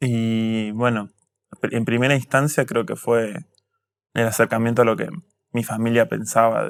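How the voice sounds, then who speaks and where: On a very clean recording, silent background, a man at a medium pitch speaks at a fairly slow pace with fairly even intonation and long, frequent pauses. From Argentina, Tandil (Buenos Aires province). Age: 20s. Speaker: history student and activist. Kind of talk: interview. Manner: hesitant, with filler words.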